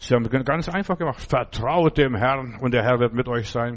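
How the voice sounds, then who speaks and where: A man talks at a moderate pace and medium pitch in an animated tone with ordinary pitch variation. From Lithuania (Memel), German-speaking. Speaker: preacher. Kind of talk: sermon, plain-spoken preaching to a congregation, with asides like 'verstehst du?'. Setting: church. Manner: animated, conversational, lively, earnest.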